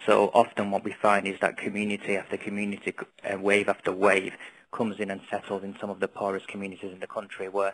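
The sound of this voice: A man speaks with a Northern English accent. His pitch sits fairly low, and his tone is fairly bright.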